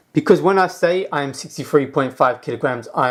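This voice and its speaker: Here a man with a British accent talks at a fairly quick pace and fairly high pitch. His pitch varies in an ordinary way, and the recording is very clean with a silent background. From UK. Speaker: self-help vlogger. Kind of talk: casual tutorial.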